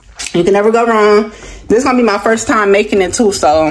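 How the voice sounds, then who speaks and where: A woman's voice with light background noise. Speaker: cooking vlogger. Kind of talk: casual vlog chat. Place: kitchen. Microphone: phone near.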